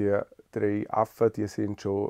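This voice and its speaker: Dark and mellow, a man's fairly low voice comes through with a dry, close sound and no echo. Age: 40s. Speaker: lawyer and parliamentary secretary. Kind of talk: personal portrait interview.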